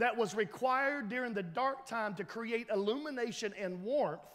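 The setting is quiet. A man talks with lively intonation. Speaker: pastor. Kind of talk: sermon. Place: church.

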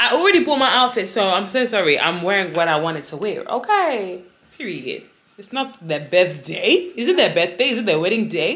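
A woman's voice at a fairly quick pace, with very wide pitch swings. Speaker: lifestyle vlogger. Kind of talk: casual vlog chat. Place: home room. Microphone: phone near.

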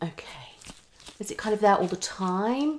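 The pitch takes big swings. There is a slightly husky edge to the voice. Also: woman.

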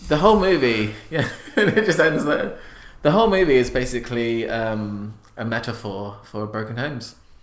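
Noticeable background noise is present throughout. The speaker's intonation rises and falls in a lively way. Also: man, medium pitch for a man, moderate pace. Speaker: comedy podcast co-host. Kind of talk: improvised comedy banter. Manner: jokey, hesitant.

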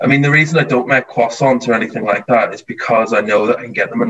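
Speaking with a Northern Irish accent, a man goes at a very fast pace with fairly even intonation. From rural Northern Ireland. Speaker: TV baking contestant; interviewee. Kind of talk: casual interview chat. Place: home room. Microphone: video call.

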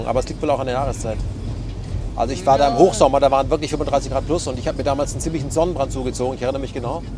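A man speaks at a very fast pace. The sound is dry with no echo, but background noise is noticeable. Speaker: political journalist. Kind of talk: interview answer. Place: car. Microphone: lapel.

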